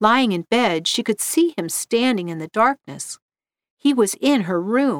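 Lively intonation in a natural reading voice, quiet all around

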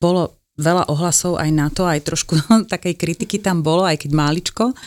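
With a normal speaking voice, a woman speaks at a moderate pace and fairly low pitch, her intonation fairly even and her loudness very even, in a dry, close, very clean recording with no echo and a silent background. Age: 50s. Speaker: nutrition therapist. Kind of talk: interview.

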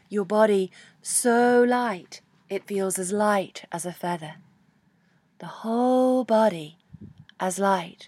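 A woman speaks very slowly in a British accent, with a gentle, soothing tone. She leaves long, frequent pauses over a very clean, silent background. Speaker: yoga teacher. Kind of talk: guided meditation. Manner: slow, soothing, calm; gentle, with long pauses.

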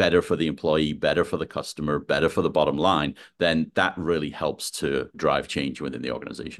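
A man with an American accent talks at a fairly quick pace with hardly any pauses. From UK. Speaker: design executive. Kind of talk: interview.

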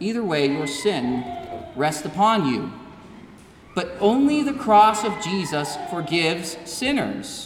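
Very slow speech with noticeable background noise. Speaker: preacher. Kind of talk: sermon. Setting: church. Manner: earnest, declamatory pulpit delivery.

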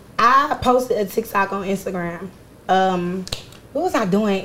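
Noticeable background noise runs under this recording. A woman speaks at a medium pitch in an American accent. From Philadelphia. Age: 20s. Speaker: rapper. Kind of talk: casual chat; tutorial.

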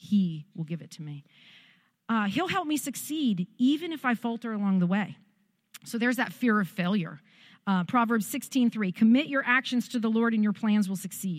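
In a very clean recording with a silent background, a woman speaks at a moderate pace in a fairly high, somewhat breathy voice, her tone animated and her intonation lively. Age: 40s. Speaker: pastor. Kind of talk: sermon.

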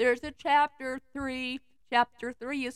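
This is a woman with a high-pitched voice. The sound is dry and close, with no echo. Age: 30s. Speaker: podcast host reading fan fiction. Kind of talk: casual chat; reading aloud with comic commentary.

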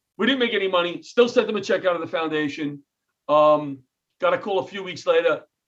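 This man has a high pitch and a New York accent. His intonation is lively. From New York City (Queens). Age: 60s. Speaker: comedian and retired firefighter. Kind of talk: interview. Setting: video call.

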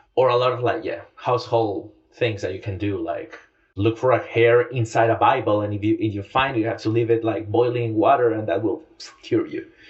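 Somewhat breathy, a man speaks at a fairly quick pace with a medium pitch. His intonation is fairly even. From Latin America. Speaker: journalist, audience editor. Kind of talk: interview.

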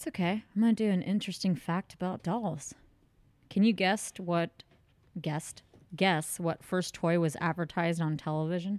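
This woman has an unremarkable speaking voice, fairly low in pitch, with fairly even intonation and a moderate pace. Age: 30s. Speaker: podcast co-host. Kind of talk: casual chat.

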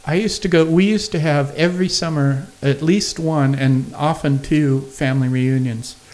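With hardly any pauses, a man talks at a moderate pace in a plain, everyday voice, fairly high in pitch with ordinary pitch variation. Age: 50s. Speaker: comedian. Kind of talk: casual chat. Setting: studio.

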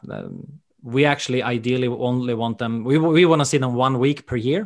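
A man speaks with a Swedish accent. His intonation stays fairly even, and the background is quiet. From Sweden. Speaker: golf education director. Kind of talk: interview.

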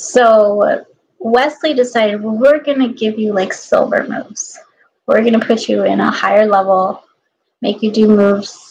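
At a moderate pace, a woman speaks in a somewhat breathy voice that is fairly high, varying her pitch in an ordinary way. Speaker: aspiring professional dancer and fitness instructor. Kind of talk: casual solo vlog monologue. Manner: rambling, many fillers.

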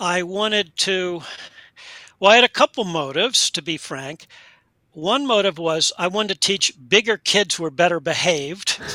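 A man's raised, projected voice with an American accent, high-pitched and bright, sharp in tone, at a moderate pace, in a dry, close sound with no echo. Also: ordinary pitch variation. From US Mid-Atlantic (Delaware, Pennsylvania). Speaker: education professor and researcher. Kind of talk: interview.

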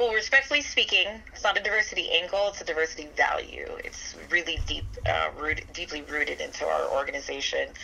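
Through noticeable background noise, a woman talks at a fairly quick pace with big swings in loudness. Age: 30s. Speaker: marketing agency owner. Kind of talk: interview.

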